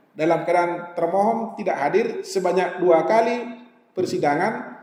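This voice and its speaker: A man with a North Sumatran accent speaks at a moderate pace in a high pitch. His pitch variation is ordinary, and there is noticeable background noise. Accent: Batak-flavoured accent even in Javanese. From Sumatra, Indonesia. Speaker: judge giving a legal training talk. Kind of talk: lecture. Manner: conversational, mixing in Javanese asides.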